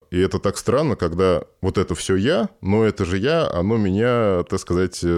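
Speaking with a Moscow accent, a man uses a very deep, low pitch and ordinary pitch variation. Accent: Moscow Russian. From Moscow, Russia. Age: 30s. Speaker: sculptor. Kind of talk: casual chat.

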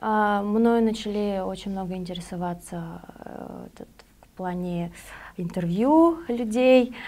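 Speaking at a very slow pace with long, frequent pauses, a woman with a medium-pitched, dark and mellow voice uses lively intonation and big swings in loudness. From Moldova. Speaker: MMA fighter. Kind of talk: interview.

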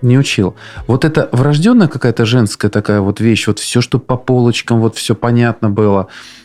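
Medium-pitched male voice at a moderate pace, ordinary pitch variation, very even loudness, dry, close sound with no echo, music in the background. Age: 40s. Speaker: podcast host, fathers' council chairman. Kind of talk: interview.

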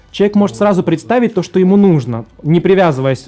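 A man speaks fairly quickly. Background music plays, and his pitch moves in an ordinary way. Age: 30s. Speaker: life coach. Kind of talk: casual interview.

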